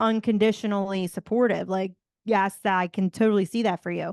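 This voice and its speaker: In a Philadelphia accent, a woman speaks at a fairly quick pace with an energetic tone, in a dry, close sound with no echo and a quiet background. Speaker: motivational speaker and podcaster. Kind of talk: casual interview chat.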